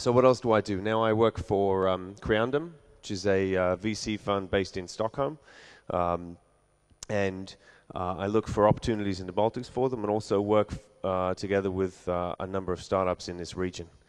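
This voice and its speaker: Over a quiet background, a man with an English accent speaks at a moderate pace in a fairly low voice with fairly even intonation. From London, England. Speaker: venture capital investor. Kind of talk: conference talk.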